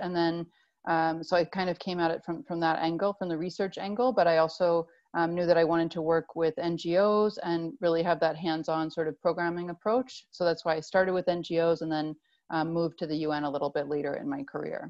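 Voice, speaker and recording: A woman speaks fairly quickly at a fairly low pitch with ordinary pitch variation. She has a plain, everyday voice. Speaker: UN agency staff member. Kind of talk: panel discussion on video call. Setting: video call.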